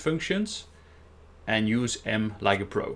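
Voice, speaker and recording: The speaker is a man. He has a Dutch accent. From Netherlands. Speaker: software trainer. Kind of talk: technical presentation.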